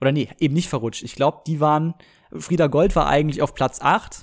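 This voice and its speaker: This man speaks at a fairly high pitch and moderate pace with ordinary pitch variation. The recording is very clean, with a silent background. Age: 20s. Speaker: podcaster. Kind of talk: casual solo monologue. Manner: hesitant, many filler sounds.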